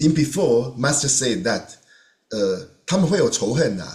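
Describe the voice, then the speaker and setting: A man's fairly high-pitched voice with a Chinese accent. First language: Mandarin Chinese. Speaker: volunteer sharing experiences. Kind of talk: testimony. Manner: halting.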